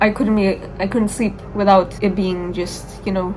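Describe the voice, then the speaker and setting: With an American accent, a woman speaks at a medium pitch with fairly even intonation. Music plays in the background, and room echo is audible. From Dubai, UAE (Indian background). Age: 18. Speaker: vlogger, university student. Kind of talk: casual vlog talk. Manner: eating while talking.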